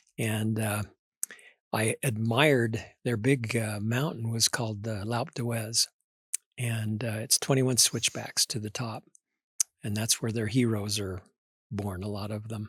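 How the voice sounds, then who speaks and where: A man with an American accent speaks at medium pitch, fairly slowly and somewhat breathily, with fairly even intonation and long, frequent pauses. The recording is very clean, with a silent background and a dry, close sound with no echo. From southern Idaho, US. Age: old. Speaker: retired broadcaster and author. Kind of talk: interview conversation.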